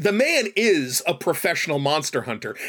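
Over noticeable background noise, a man talks at a fairly slow pace in a high pitch. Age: 40s. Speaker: streamer and guest co-host. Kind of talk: casual chat. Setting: studio.

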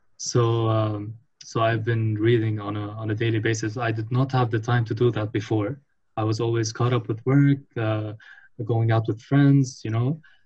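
At a moderate pace, a man speaks in a medium pitch with a somewhat breathy voice and monotone, flat intonation. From Lebanon, Beirut. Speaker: marketing professional at consumer goods company. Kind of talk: casual chat.

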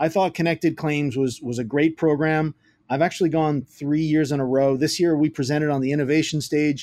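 In a Puerto Rican accent, a man speaks at a fairly high pitch with fairly even intonation. His tone is dark and mellow. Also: fairly quick pace. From Puerto Rico. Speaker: tech startup founder. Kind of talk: podcast interview.

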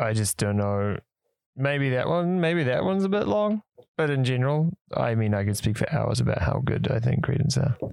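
A man with a New Zealand accent, very even in loudness, with very wide pitch swings. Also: medium pitch for a man, moderate pace. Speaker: podcast co-host. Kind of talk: casual chat.

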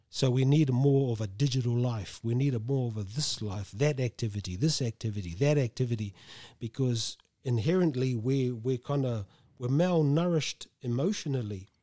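A man speaks with a New Zealand accent at a moderate pace, with a medium pitch, ordinary pitch variation and a dark, mellow tone. The recording is very clean, with a silent background. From New Zealand, Tolaga Bay (East Coast). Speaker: gardener and community worker. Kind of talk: casual interview.

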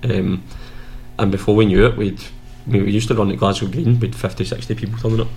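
In a West of Scotland accent, a man talks at a very fast pace. His pitch is fairly low. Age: 30s. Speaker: former footballer, mental health group founder. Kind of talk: casual chat.

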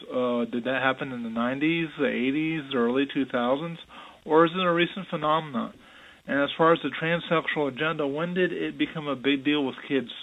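This voice, a normal speaking voice, moves at a moderate pace with fairly even intonation. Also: man, fairly high pitch for a man. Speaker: caller. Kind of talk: voicemail comment.

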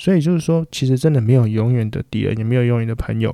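With a Taiwanese accent, a man talks at a fairly quick pace. His medium-pitched voice has a dark, mellow tone and ordinary pitch variation. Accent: Taiwanese Mandarin. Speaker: podcast host. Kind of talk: solo casual monologue. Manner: hesitant, many filler words.

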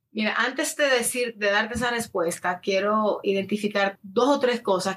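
A woman with a Dominican accent talks at a fairly slow pace with ordinary pitch variation. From Dominican Republic. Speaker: lifestyle influencer and addiction counselor. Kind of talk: casual interview.

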